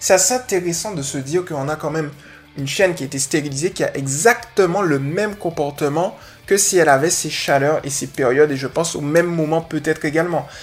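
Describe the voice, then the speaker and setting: Fairly high-pitched man at a fairly quick pace, with music in the background. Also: ordinary pitch variation. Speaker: dog trainer podcast host. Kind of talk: casual solo podcast answering a listener question. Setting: live recording with background music. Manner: fast; energetic.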